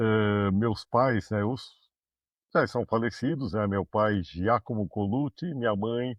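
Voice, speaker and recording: A man with a São Paulo accent, fairly low in pitch with ordinary pitch variation, at a very slow pace. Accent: Brazilian Portuguese, paulistano. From Brazil, São Paulo city. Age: 60s. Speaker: management consultant and university professor. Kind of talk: interview.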